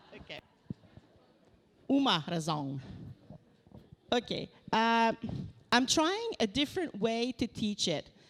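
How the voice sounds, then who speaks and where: A woman in a Quebec accent, fairly high in pitch with very wide pitch swings, at a very slow pace with long, frequent pauses. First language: French. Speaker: researcher. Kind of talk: lecture. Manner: halting.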